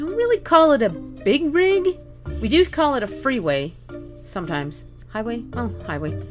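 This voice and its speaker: With music playing in the background, a woman speaks at a moderate pace. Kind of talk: casual talk to camera.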